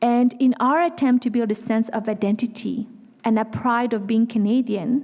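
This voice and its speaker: A woman with a high voice, going fairly slowly. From France. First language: Vietnamese or French. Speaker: nonprofit executive. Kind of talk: public speech. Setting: stage with audience.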